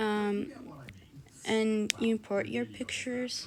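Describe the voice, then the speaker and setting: Fairly slow speech with a non-native accent over noticeable background noise. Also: woman. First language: not English. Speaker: video editing tutorial creator. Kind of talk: tutorial. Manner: casual, hesitant with many fillers.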